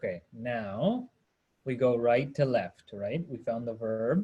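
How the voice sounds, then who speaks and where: A man talks at a very slow pace. His voice is somewhat breathy with ordinary pitch variation. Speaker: Sanskrit teacher. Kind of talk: online class lecture.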